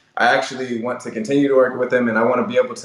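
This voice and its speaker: A man's intonation stays fairly even as noticeable background noise runs under his speech. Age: 20s. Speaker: podcast host, guest. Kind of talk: interview conversation. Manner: filler-heavy, casual.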